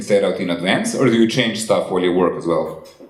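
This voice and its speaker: Extremely rapid talking against clearly audible background noise. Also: man. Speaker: interviewer, comics artist. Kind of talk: casual interview. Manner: soft-spoken.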